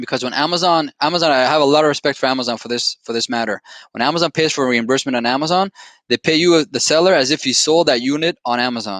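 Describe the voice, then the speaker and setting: A man with a non-native accent speaks at a very fast pace with a fairly high pitch and ordinary pitch variation, in a dry, close sound with no echo on a very clean recording with a silent background. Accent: foreign accent, noticeable. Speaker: company founder and executive. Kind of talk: podcast interview. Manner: animated.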